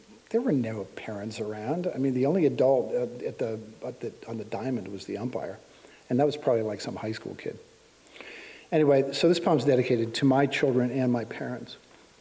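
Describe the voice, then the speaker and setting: A man's unremarkable speaking voice at medium pitch, with ordinary pitch variation and a fairly quick pace. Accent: American. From Pittsburgh, Pennsylvania. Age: 60s. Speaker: poet. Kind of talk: poetry reading.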